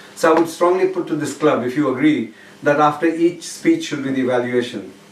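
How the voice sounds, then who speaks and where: Against noticeable background noise, a man speaks with fairly high pitch and fairly even intonation. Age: 60s. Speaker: speaking club member. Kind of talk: public speech evaluation.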